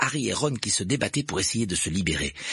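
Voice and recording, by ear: Reading aloud in a natural voice with lively intonation.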